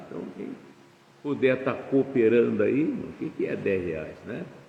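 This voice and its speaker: With audible room echo and noticeable background noise, a man speaks with lively intonation. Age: 70s. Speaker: pastor. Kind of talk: sermon. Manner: casual, conversational.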